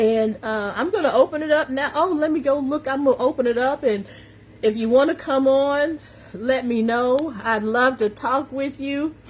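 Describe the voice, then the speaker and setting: This woman's voice sits high in pitch, with ordinary variation. Her tone is animated. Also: moderate pace. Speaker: confidence coach and live-stream host. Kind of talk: live-stream motivational talk. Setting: Facebook and Instagram live stream. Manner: animated, emphatic.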